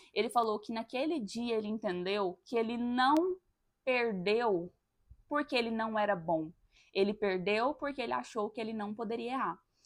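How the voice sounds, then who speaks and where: The recording is very clean, with a silent background. A woman speaks at a moderate pace, her fairly high pitch showing ordinary variation. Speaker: podcast host. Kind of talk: personal monologue.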